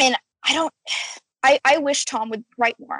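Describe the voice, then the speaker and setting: In a normal speaking voice with lively intonation, someone speaks at a moderate pace, the sound dry and close with no echo. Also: woman. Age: 20s. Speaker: theater design student. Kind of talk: casual chat.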